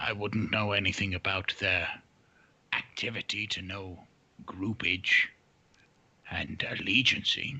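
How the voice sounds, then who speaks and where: A man puts on a character voice at a fairly low pitch, speaking at a fairly slow pace with long, frequent pauses. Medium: actual play. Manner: measured, dignified.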